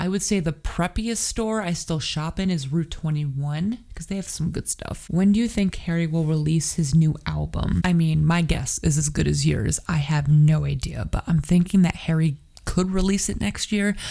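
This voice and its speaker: A woman speaks softly at a moderate pace with hardly any pauses, her voice dark and mellow, somewhat breathy, fairly low in pitch, with ordinary pitch variation. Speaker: YouTuber. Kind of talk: casual talk to camera. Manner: soft-spoken.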